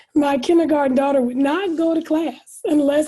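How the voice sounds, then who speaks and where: A woman speaks at a moderate pace in a high-pitched voice with fairly even intonation. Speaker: cancer survivor. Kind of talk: testimony.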